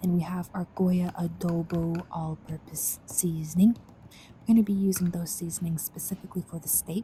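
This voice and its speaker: A soft-spoken woman talks at a moderate pace with hardly any pauses, her fairly low voice dark, mellow and somewhat breathy. Her intonation stays monotone and flat, yet her loudness swings widely. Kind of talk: ASMR cooking tutorial. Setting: home kitchen.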